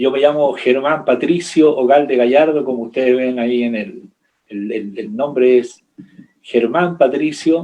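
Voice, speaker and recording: At a fairly slow pace, a man with a dark, mellow tone speaks at medium pitch with ordinary pitch variation. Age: 60s. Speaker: pastor. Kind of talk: interview. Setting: video call.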